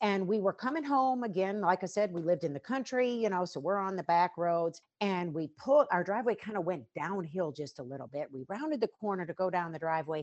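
With an American accent, a woman speaks in an ordinary speaking voice at medium pitch, keeping a fairly quick pace with lively intonation and hardly any pauses. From Western North Carolina. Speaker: bereaved mother and fitness trainer. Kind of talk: interview testimony.

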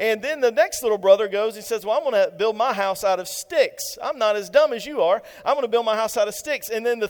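Lively intonation marks the delivery. The reading voice sounds natural.

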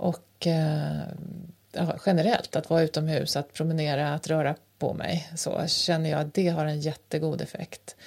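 Somewhat breathy and very deep, low in pitch, a woman speaks at a fairly slow pace in a monotone, flat manner. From rural Sweden, grew up on a farm. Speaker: podcast co-host. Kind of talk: casual chat. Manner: halting, many fillers.

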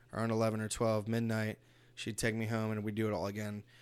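Monotone and flat, a man with medium pitch speaks in an American accent. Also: very clean recording, silent background. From East Los Angeles, US. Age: 30s. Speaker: podcast guest. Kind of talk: casual chat.

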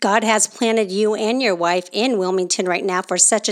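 A woman with a medium pitch speaks at a moderate pace using fairly even intonation. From California, Oakland Bay Area. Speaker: podcast host. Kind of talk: casual chat.

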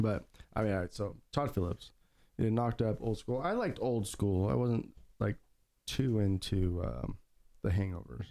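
The voice has a dark, mellow tone and lively intonation, with very even loudness, a moderate pace and long, frequent pauses. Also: man, fairly low pitch for a man. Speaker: podcast host. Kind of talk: casual chat.

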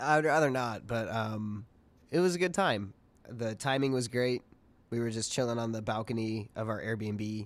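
Delivered at a moderate pace, a man's medium-pitched voice, an unremarkable speaking voice, shows ordinary pitch variation. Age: 20s. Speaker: podcast co-host. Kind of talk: casual chat.

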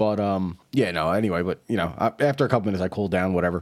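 A man with an American accent and an unremarkable speaking voice, fairly low in pitch with ordinary pitch variation, on a very clean recording with a silent background. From New York City. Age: 40s. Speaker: podcast host. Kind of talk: casual chat.

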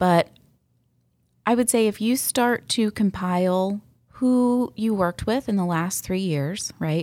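An unremarkable speaking voice from a woman with an American accent, medium pitch and ordinary pitch variation, at a fairly slow pace, on a very clean recording with a silent background. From US South, Atlanta area (Sandy Springs). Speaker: real estate agent. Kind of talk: interview. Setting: studio.

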